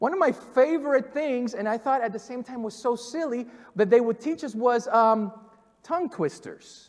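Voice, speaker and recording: Speaking at a moderate pace with a Spanish accent, a man uses an extremely high pitch. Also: ordinary pitch variation. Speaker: pastor. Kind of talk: sermon. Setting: church.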